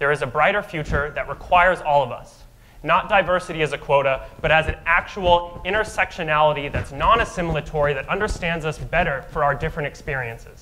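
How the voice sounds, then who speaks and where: A fairly high-pitched man at a fairly quick pace, hardly any pauses, with noticeable background noise. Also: ordinary pitch variation. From Albuquerque, New Mexico. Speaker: mayoral candidate. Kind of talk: candidate opening statement at a forum. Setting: stage with audience.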